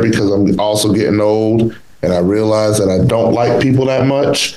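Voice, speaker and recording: A man's voice at a moderate pace with ordinary pitch variation, over noticeable background noise. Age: 40s. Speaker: podcast host. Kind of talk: casual chat. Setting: video call. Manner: animated.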